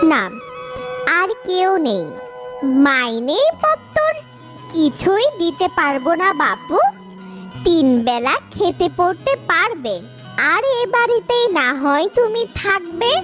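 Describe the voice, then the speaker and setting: Over clear background music, a woman does a cartoonish character voice. It is extremely high-pitched and fairly slow. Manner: stern, secretive.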